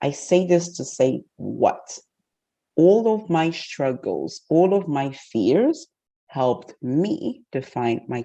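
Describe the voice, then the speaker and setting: Using very wide pitch swings, a woman speaks at a very slow pace with a dark, mellow tone. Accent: Portuguese. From Portugal and Guinea-Bissau. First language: Portuguese. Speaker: masterclass facilitator, bank director. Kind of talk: interactive online masterclass. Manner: confident.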